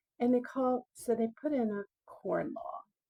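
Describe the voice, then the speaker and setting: A loud woman's voice, dark and mellow in tone, at a fairly slow pace with ordinary pitch variation, in a dry, close sound with no echo. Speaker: video blogger. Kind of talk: casual monologue on history. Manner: halting, many fillers; talking loudly to be heard.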